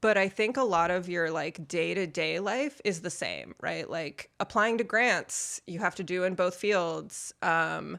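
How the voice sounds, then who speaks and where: A woman speaks at a fairly slow pace with hardly any pauses, her fairly low voice bright and sharp in tone, with vocal fry and ordinary pitch variation. The recording is very clean with a silent background. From US, born in Soviet Union. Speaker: artist, former scientist. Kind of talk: casual chat.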